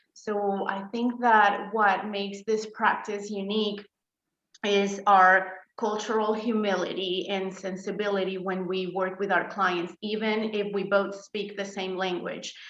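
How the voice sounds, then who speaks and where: Audible room echo frames a woman with a Spanish accent who speaks fairly slowly at a medium pitch with monotone, flat intonation. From Colombia. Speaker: therapist. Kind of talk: interview. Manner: hesitant, many fillers.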